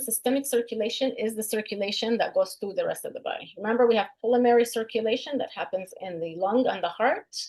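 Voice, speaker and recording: A woman with a normal speaking voice, fairly high in pitch, fairly quick, with ordinary pitch variation. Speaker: instructor. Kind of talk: lecture.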